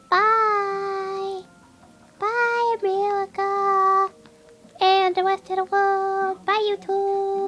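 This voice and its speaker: In a put-on character voice with extremely high pitch, the speaker talks at a very slow pace in a monotone, flat intonation while clear music plays behind. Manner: cheerful goodbye.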